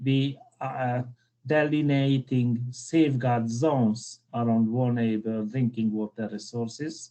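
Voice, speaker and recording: A man with a Hungarian accent, medium pitch, fairly even intonation and a fairly slow pace. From Hungary. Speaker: civil engineer, keynote speaker. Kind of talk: conference keynote lecture.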